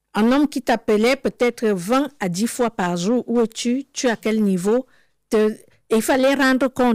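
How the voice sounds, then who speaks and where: In a very clean recording with a silent background and a dry, close sound with no echo, a woman speaks fairly slowly at a fairly high pitch with ordinary pitch variation. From Cameroon. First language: Cameroonian local language (speaking French). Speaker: interviewee sharing life story. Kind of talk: testimony. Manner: halting.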